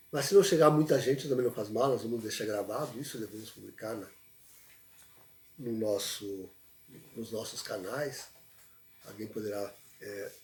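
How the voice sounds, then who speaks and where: A soft-spoken man's medium-pitched voice, fairly slow, with long, frequent pauses, big swings in loudness, ordinary pitch variation, and noticeable background noise. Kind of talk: livestream talk. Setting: livestream. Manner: halting.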